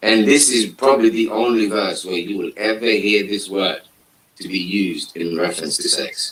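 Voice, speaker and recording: In a Somali accent, a man with a fairly low pitch talks at a moderate pace with ordinary pitch variation. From Somalia. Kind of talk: religious discussion. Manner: halting.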